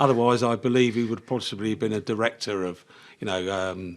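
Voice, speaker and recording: A man with a southern English accent speaks at a fairly quick pace in a fairly low pitch. His pitch varies in an ordinary way, and the recording is very clean with a silent background. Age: 70s. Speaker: engineering business owner. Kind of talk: podcast interview.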